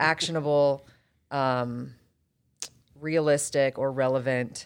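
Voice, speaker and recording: Speaking very slowly with an American accent, a woman uses a very deep, low pitch and fairly even intonation. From US South, Atlanta area (Roswell, Georgia). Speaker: real estate agent. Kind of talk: podcast interview.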